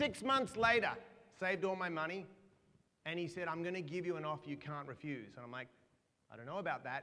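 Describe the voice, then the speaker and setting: With an Australian accent, a man with a high pitch and a bright, sharp tone speaks fairly quickly, his lively intonation broken by long, frequent pauses and big swings in loudness. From Australia (Perth). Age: 40s. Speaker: motivational speaker. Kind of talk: keynote speech.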